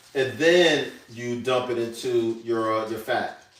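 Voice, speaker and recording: A man with an American accent speaks, and audible room echo surrounds his voice. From New York. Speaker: chef. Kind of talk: live cooking demonstration. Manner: casual, conversational.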